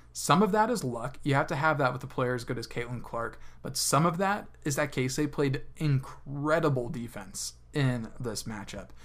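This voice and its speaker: Vocal fry runs through a man's voice as he speaks with lively intonation. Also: medium pitch for a man, moderate pace. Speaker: sports podcast co-host. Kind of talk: casual sports recap chat.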